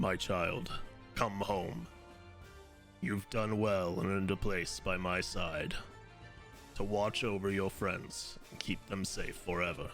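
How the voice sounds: A man's booming, put-on character voice, very deep and low in pitch, at a fairly slow pace with long, frequent pauses over clear background music.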